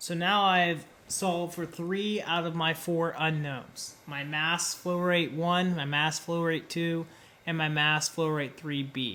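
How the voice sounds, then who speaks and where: A man speaks at a very slow pace in a high voice, his intonation fairly even and a room echo audible around him. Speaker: engineering lecturer. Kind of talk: lecture.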